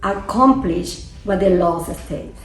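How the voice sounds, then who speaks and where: A woman with a Venezuelan accent at a medium pitch and very slow pace, with audible room echo and noticeable background noise. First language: Spanish. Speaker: immigration attorney. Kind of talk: interview.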